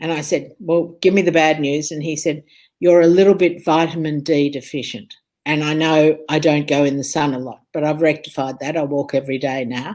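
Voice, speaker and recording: An Australian-accented woman with a very deep, low pitch, fairly even intonation and a moderate pace, on a very clean recording with a silent background. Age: 60s. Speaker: food and health speaker. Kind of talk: interview chat.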